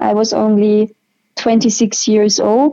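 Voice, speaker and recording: A woman with a German accent speaks at a fairly high pitch. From Austria. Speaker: patient sharing her illness story. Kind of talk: interview.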